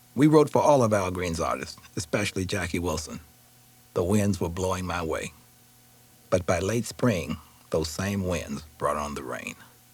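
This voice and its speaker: A man's very deep, low voice with lively intonation, a moderate pace, long and frequent pauses, and noticeable background noise. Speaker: author reading own memoir. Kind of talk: audiobook memoir reading. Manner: emotionally expressive.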